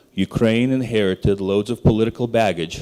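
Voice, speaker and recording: In a dark, mellow tone, a man speaks at a fairly low pitch with fairly even intonation. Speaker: investment banker. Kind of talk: conference presentation. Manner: fast.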